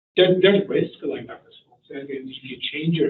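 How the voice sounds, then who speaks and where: The speaker is a man. He has a Korean accent. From South Korea. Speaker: professor. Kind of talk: panel discussion. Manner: halting.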